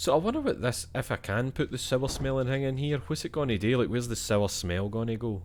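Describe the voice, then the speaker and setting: In a Scottish accent, a man speaks at a very fast pace with hardly any pauses, a medium pitch and ordinary pitch variation on a very clean recording with a silent background. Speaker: gaming streamer. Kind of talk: let's play commentary. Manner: animated.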